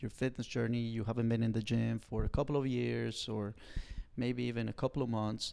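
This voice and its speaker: In a Colombian accent, a man speaks at a fairly quick pace and medium pitch. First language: Spanish. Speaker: personal trainer. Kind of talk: podcast interview.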